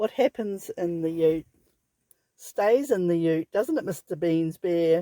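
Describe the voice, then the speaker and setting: A woman with an Australian accent speaks at a fairly slow pace in a fairly low pitch, her dark, mellow tone carrying ordinary pitch variation in a dry, close recording with no echo. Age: 70s. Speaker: vanlifer. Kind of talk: casual talk to camera.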